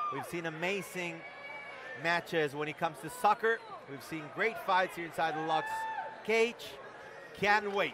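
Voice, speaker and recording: A man speaks at a moderate pace with a high pitch. Long, frequent pauses break up his speech, and there is noticeable background noise. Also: ordinary pitch variation. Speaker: play-by-play commentator. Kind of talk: live fight commentary, excited race-call style. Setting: live event, cage-side.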